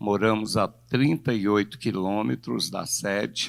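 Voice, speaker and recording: A man talks at a very slow pace. The background is silent and the recording very clean. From Brazil, São Gonçalo (Rio de Janeiro). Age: 60s. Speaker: pastor. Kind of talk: sermon. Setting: church.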